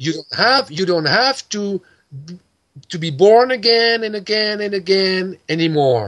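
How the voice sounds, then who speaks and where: A man with a French accent speaks at a fairly slow pace in a high pitch, with lively intonation over a quiet background. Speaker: esoteric teacher. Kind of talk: interview, spiritual explanation. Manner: halting, searching for words. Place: home room. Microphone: video call.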